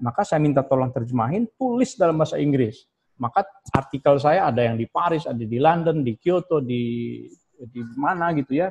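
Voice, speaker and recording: This man speaks at a fairly quick pace. The background is quiet. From Indonesia, West Java (Sundanese). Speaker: professor of Islamic philology. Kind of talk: guest lecture. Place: office. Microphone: video call.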